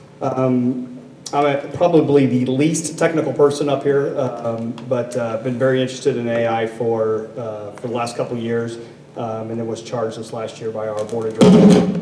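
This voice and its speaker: Moderate-paced male speech amid audible room echo and noticeable background noise. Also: medium pitch for a man, ordinary pitch variation. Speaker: corporate lawyer and risk officer on a panel. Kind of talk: panel discussion. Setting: stage with audience, microphone. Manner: loud; halting, many fillers.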